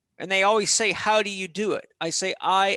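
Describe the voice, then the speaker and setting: A man with a high pitch and a bright, sharp tone uses a raised, projected voice at a moderate pace, animated in tone, with a dry, close sound and no echo. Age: 50s. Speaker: holistic health and exercise expert. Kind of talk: podcast interview.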